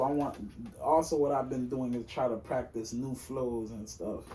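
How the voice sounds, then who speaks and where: Noticeable background noise and audible room echo fill the recording. Through them, a man talks at a moderate pace. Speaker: aspiring rapper and singer. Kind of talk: casual interview chat. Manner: halting, many fillers.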